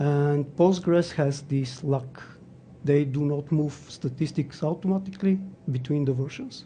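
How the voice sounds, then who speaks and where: Fairly high in pitch, somewhat breathy and dark, mellow in tone, a man speaks at a fairly slow pace with fairly even intonation. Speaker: conference speaker on databases. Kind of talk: technical talk.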